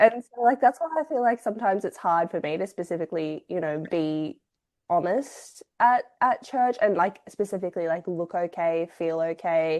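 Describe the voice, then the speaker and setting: A woman with an Australian accent talks at a moderate pace in a medium pitch. Her intonation is lively. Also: quiet background. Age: 20s. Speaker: podcast co-host. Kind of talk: casual chat.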